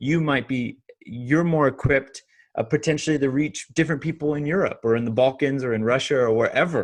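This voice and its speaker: A man talks in a Californian accent. His pitch is fairly high, with ordinary variation. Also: fairly quick pace. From Southern California. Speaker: online pastor. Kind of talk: interview. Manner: halting.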